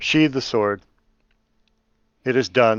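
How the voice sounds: The man's tone is clear, smooth and fairly bright, with a dry, close sound and no echo.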